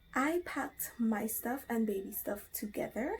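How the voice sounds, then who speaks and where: This quiet voice moves at a very slow pace, with lively intonation and a dark, mellow tone. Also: woman. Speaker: vlogger. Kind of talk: casual show-and-tell vlog. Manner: speaking quietly.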